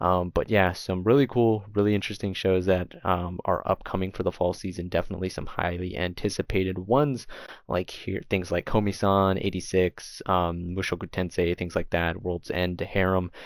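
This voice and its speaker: A man with a very deep, low pitch talks at a moderate pace, hardly pausing at all. The recording is very clean, with a silent background. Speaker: anime YouTuber. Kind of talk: casual video commentary. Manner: casual, animated.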